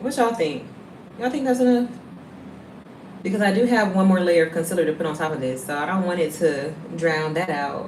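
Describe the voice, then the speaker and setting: In a Southern US accent, a woman with a medium pitch talks at a fairly quick pace with very wide pitch swings and long, frequent pauses, amid audible room echo and noticeable background noise. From US South. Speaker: beauty livestreamer. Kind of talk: casual livestream makeup tutorial.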